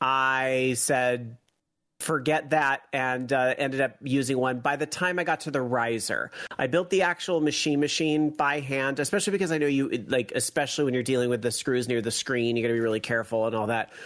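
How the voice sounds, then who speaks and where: In an ordinary speaking voice, a man talks at a fairly quick pace and medium pitch, with ordinary pitch variation and very even loudness against a quiet background. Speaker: guest, arcade cabinet owner. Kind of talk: casual chat.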